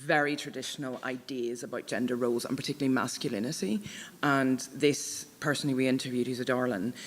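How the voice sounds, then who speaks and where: A woman with a Northern Irish accent, her pitch very deep and low, her intonation monotone and flat. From Northern Ireland. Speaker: author. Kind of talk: panel Q&A discussion. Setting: book launch event with audience.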